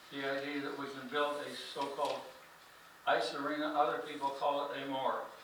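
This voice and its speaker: The voice has a monotone, flat intonation. Audible room echo and noticeable background noise surround it. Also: man, fairly high pitch for a man. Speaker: resident speaking at public hearing. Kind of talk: public comment at county budget hearing. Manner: halting.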